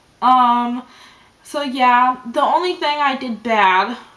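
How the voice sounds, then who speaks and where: A woman's raised, projected voice, high in pitch with ordinary pitch variation. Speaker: vlogger. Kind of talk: personal video diary. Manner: not lively, concentrating.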